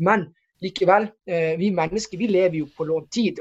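Ordinary pitch variation from a man talking at a moderate speed. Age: 40s. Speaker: stock market analyst. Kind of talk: interview. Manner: halting, many repeated words.

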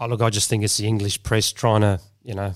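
This man has an Australian accent. His voice sits fairly low. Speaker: former footballer and pundit. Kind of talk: casual panel chat. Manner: halting, many fillers.

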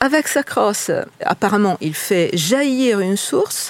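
A woman with an Italian accent speaks at medium pitch. Her pitch makes very wide swings. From Italy. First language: Italian (speaking French). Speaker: tour guide. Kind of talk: guided tour explanation.

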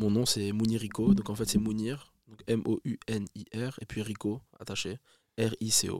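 A man speaks very slowly in a monotone, flat way. His loudness swings a lot, and the sound is dry and close with no echo. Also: medium pitch for a man. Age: 20s. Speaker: rapper. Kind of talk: casual chat.

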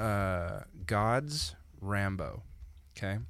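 A man speaks at a fairly low pitch with ordinary pitch variation. Audible room echo is present. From small-town Canada. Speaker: podcast co-host. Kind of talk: casual chat.

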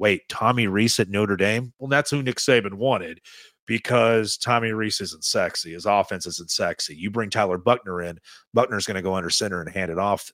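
An animated voice with a Southern US accent moves at a moderate pace with ordinary pitch variation. The sound is dry and close with no echo, in a very clean recording over a silent background. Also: man, fairly low pitch for a man. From East Tennessee. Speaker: sports radio host. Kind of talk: casual chat.

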